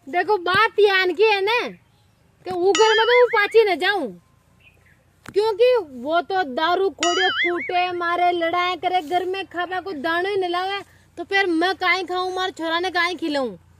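Over music in the background, a woman speaks at an extremely high pitch and very slow pace, with ordinary pitch variation and a dry sound with no echo. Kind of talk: scripted dialogue in local dialect. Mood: complaining, animated. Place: open country.

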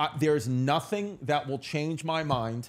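Animated and in a New York accent, a man with a fairly high pitch talks at a moderate pace. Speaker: comedian and podcast host; comedian, podcast host. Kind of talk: casual chat. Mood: animated, storytelling. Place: studio. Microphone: studio mic.

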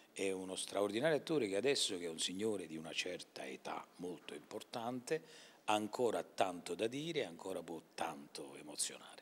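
A man speaks in a very deep, low voice. His pace is fairly quick. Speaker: actor interviewed about theatre. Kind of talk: interview answer. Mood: warm, proud. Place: hall. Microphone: handheld.

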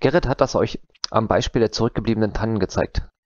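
A man talking at a very fast pace, dry sound with no echo, quiet background. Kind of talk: conference talk. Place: home room. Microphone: headset.

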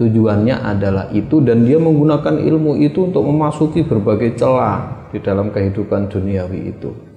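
A man's voice with ordinary pitch variation and audible room echo. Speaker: religious teacher. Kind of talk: religious lecture. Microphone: lapel.

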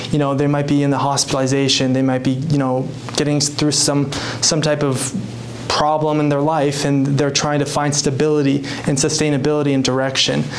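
A man with an American accent talks at a fairly quick pace in a fairly high pitch. His intonation is monotone and flat, with light background noise behind him. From US Pacific Northwest, Whatcom County, Washington. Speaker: mental health speaker and author. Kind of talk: motivational talk. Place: meeting room.

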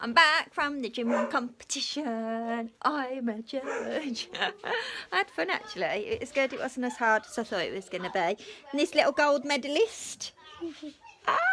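A woman speaks at a moderate pace in a raised, projected voice, with noticeable background noise behind her. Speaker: family vlogger. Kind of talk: casual vlog chat. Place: home room. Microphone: phone near.

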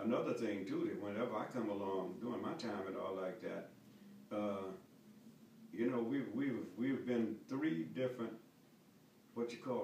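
A man with an American accent is speaking. The room echo is audible, with light background noise. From North Carolina, US. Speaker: war veteran. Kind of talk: interview answer. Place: home room. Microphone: camera far.

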